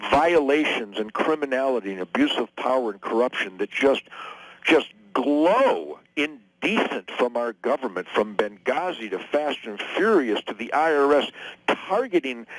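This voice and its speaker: A man with an American accent talks at a moderate pace in a plain, everyday voice. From Detroit, USA. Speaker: guitar player and political commentator. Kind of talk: radio interview answer.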